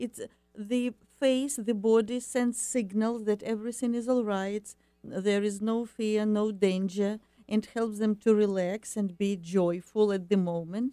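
A dark, mellow voice with an Eastern European accent moves at a fairly slow pace with fairly even intonation. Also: woman, fairly high pitch for a woman. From Ukraine. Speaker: happiness coach and ESL teacher. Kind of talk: radio interview. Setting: studio. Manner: halting.

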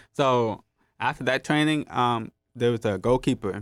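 An ordinary speaking voice with an American accent moves at a fairly quick pace with ordinary pitch variation. The recording is very clean with a silent background, and the sound is dry and close with no echo. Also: man. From US West Coast, Los Angeles. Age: 20s. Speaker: hard of hearing social media creator. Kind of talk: casual chat.

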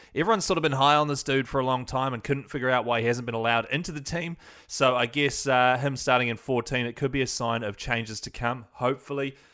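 With a New Zealand accent, a man speaks very fast at a medium pitch in a bright, sharp tone, with fairly even intonation and hardly any pauses, on a very clean recording with a silent background. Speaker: podcast host. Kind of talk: podcast monologue, team news rundown.

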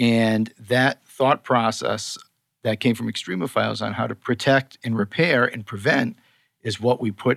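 A Boston accent with vocal fry, ordinary pitch variation, and a dry, close sound with no echo. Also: man. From Boston, US. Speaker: skincare scientist and co-founder. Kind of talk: casual interview chat. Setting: in-person studio recording.

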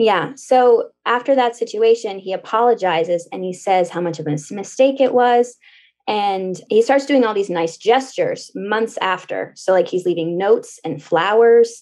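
The speaker has a normal speaking voice and a moderate pace. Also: woman, fairly high pitch for a woman, lively intonation. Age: 20s. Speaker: caller seeking dating advice. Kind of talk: casual advice call.

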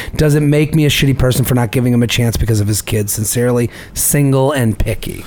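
Through noticeable background noise, a man of medium pitch speaks at a very fast pace with very even loudness and ordinary pitch variation. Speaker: podcast host. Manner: reads listener emails aloud.

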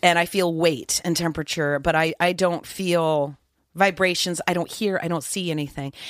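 On a very clean recording with a silent background, a woman with an ordinary speaking voice talks at a moderate pace, fairly low in pitch with ordinary pitch variation. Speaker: actress. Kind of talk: casual chat.

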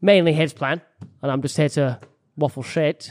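Dry and close with no echo, the recording has a man speaking in an animated tone at a moderate pace with ordinary pitch variation. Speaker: YouTuber and podcast co-host. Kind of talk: casual chat.

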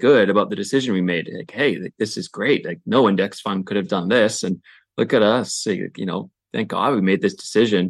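Over a quiet background, a man with an unremarkable speaking voice talks at a moderate pace, his fairly low pitch showing ordinary variation. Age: 30s. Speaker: guest couple seeking financial advice. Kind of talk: casual chat.

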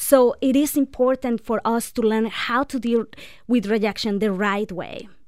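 A woman with a non-native accent speaks at a moderate pace. Her pitch is fairly high and her intonation fairly even. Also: very clean recording, silent background. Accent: foreign-accented English. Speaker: breakup and divorce recovery coach. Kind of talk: radio interview advice. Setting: radio studio.

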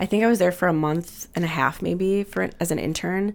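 A woman with an American accent talks at a fairly quick pace, her pitch fairly low and her intonation fairly even. It is an unremarkable speaking voice. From Milwaukee, Wisconsin. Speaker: pastry chef and restaurant co-owner. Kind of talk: casual interview chat. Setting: studio.

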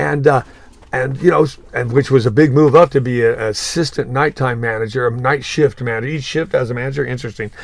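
With noticeable background noise behind him, a man talks in an animated tone with a Southern Californian accent. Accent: Southern California American. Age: 70s. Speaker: surf shop owner. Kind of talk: interview.

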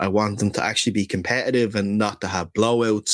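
Speaking with an Irish accent, a man keeps a fairly low pitch, fairly even intonation and a fairly quick pace. The very clean recording has a silent background and a dry, close sound with no echo. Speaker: NFL podcast host. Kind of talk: casual chat.

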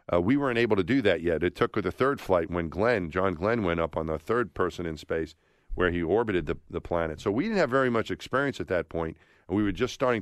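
Over a quiet background, a man speaks very fast at a fairly low pitch with ordinary variation, in a dry, close sound with no echo. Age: 50s. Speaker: former astronaut. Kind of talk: interview. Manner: animated; halting.

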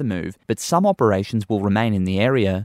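Over a silent background in a very clean recording, a man speaks at a fairly quick pace with an Australian accent. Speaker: radio news presenter. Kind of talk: formal newsreading, crisp and measured bulletin delivery. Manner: formal, steady and brisk, neutral tone.

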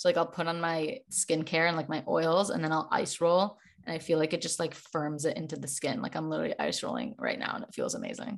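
Against a quiet background, a woman with an American accent talks at a very fast pace with hardly any pauses. Her fairly low voice has vocal fry and lively intonation. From Chicago. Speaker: holistic nutritionist and wellness creator. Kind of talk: casual chat.

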